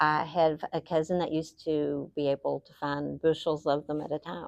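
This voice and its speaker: A speaker with an Appalachian accent talks in monotone, flat intonation, with a dry, close sound with no echo and a quiet background. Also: woman. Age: 60s. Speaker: interviewee, local elder. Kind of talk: interview answers. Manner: casual, conversational.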